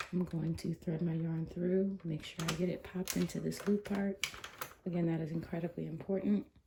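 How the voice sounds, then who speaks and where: Over noticeable background noise, the speech comes at a fairly quick pace in a flat, monotone intonation. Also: woman, fairly low pitch for a woman. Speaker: crafting tutorial host. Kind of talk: tutorial. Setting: livestream video. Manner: softer than usual, early morning; normally loud.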